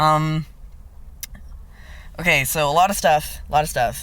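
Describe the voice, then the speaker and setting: This clip features a man talking. The room around him gives off an audible echo. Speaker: vlogger. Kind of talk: casual vlog monologue. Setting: in a parked car, windows down. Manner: casual, many fillers.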